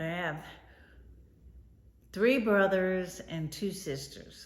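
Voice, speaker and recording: Speech with an American accent comes at a very slow pace, with ordinary pitch variation. Room echo is audible. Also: woman, medium pitch for a woman. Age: 60s. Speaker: grandmother interviewed. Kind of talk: interview answers.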